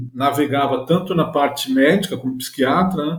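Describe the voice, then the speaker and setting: This man talks at a moderate pace. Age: 50s. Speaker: journalist. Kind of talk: interview.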